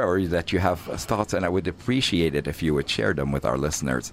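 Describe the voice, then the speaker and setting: The speaker has an enthusiastic tone and vocal fry, moving at a fairly quick pace. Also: man. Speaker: radio host and Arabic teacher. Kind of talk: radio interview. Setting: radio studio.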